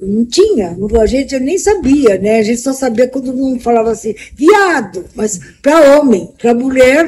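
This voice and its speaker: Her voice high in pitch, a woman speaks at a fairly slow pace with very wide pitch swings. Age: 70s. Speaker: interviewee, vice-president of an LGBT elders association. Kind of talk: interview testimony. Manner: halting.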